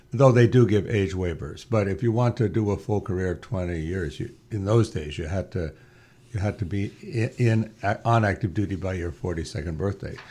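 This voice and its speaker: A man with a fairly low pitch speaks at a moderate pace, his dark, mellow tone somewhat breathy and his pitch variation ordinary. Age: 70s. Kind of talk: casual interview. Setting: studio.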